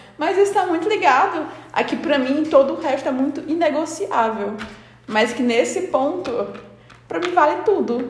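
With audible room echo and noticeable background noise, a woman talks at a moderate pace in a high pitch with lively intonation. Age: 20s. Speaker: podcast co-host. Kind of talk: casual chat.

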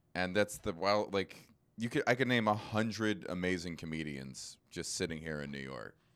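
In a very clean recording with a silent background, a man with a very deep, low pitch and vocal fry speaks at a moderate pace with lively intonation. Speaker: comedian and podcast host. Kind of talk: casual chat.

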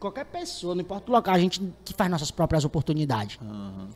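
A man is speaking. His pitch is high. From Fortaleza, Ceará, Brazil. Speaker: comedian and digital influencer. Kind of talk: casual chat.

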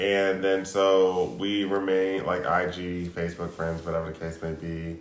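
A man speaks at a moderate pace in a very deep, low voice with monotone, flat intonation, and the room echo is audible. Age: 40s. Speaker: podcast co-host. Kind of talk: casual chat.

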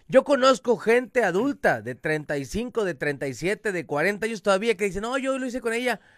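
On a very clean recording with a silent background and a dry, close sound with no echo, a man speaks in an animated tone at a high pitch and fairly slow pace, with very wide pitch swings. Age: 30s. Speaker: podcast host. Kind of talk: casual chat.

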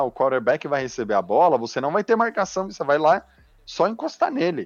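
A man speaks at a fairly quick pace, his pitch swinging very widely. Music plays in the background, and the sound is dry and close with no echo. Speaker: NFL fan commentator. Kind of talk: casual sports talk. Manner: animated.

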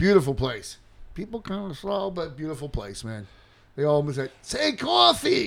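In a Queens accent, a man speaks at a moderate pace with a fairly high pitch. His voice shows very wide pitch swings and big swings in loudness. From New York City, Queens. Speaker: podcast co-host. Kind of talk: casual chat.

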